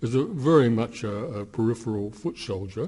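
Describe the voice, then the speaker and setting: Somewhat breathy, a man's medium-pitched voice has a dark, mellow tone and moves at a moderate pace. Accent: Australian. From Australia, Melbourne. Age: 70s. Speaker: anti-war activist. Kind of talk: interview. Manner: halting, many fillers.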